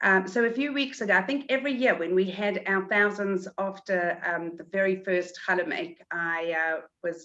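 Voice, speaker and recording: A woman with a South African accent speaks in a bright, sharp tone, with ordinary pitch variation and hardly any pauses. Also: medium pitch for a woman, moderate pace. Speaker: community event organizer. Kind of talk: webinar interview.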